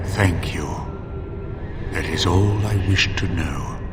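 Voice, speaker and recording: A put-on character voice moves at a fairly slow pace through a clear echo and loud background noise. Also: man, very deep, low pitch for a man. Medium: machinima. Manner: solemn, measured, probing.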